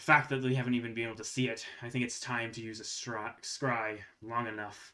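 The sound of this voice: Putting on a gruff character voice, a man speaks at medium pitch and a fairly quick pace in a monotone, flat delivery.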